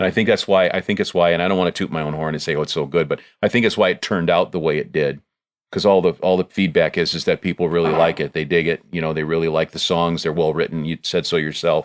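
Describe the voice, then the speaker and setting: Recorded very cleanly against a silent background, a man with an American accent talks at a very fast pace, his very deep, low pitch held in fairly even intonation. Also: dry, close sound with no echo. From Joliet area, Illinois. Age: 60s. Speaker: singer-songwriter. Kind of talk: interview. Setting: studio. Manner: halting.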